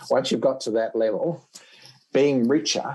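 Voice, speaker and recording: Talking at a fairly slow pace, a man uses ordinary pitch variation. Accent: Australian. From Australia. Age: 60s. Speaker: dentistry professor. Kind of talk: podcast interview.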